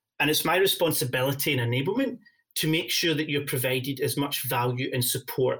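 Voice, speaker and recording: His voice is fairly high for a man, with ordinary pitch variation. He speaks with a Scottish accent. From Scotland. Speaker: partner enablement lead at a software company. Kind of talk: podcast interview. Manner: frequent fillers and hesitations.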